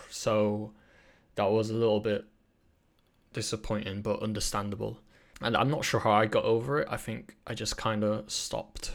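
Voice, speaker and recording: In a British accent, a man talks at a moderate pace with fairly even intonation and long, frequent pauses, recorded very cleanly against a silent background. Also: fairly low pitch for a man. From Britain, British Chinese. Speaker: podcast host. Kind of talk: solo podcast monologue. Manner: halting, many fillers and restarts.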